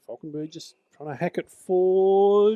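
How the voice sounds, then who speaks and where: A man with an Australian accent speaks at a fairly slow pace in a high pitch, his tone dark and mellow, the sound dry and close with no echo. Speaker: match commentator. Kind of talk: live commentary. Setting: Australian football match broadcast.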